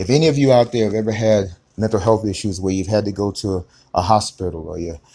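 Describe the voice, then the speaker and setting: On a very clean recording with a silent background, a man speaks in a dark, mellow tone at a fairly low pitch with ordinary pitch variation. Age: 60s. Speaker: life coach. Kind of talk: motivational monologue. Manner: animated.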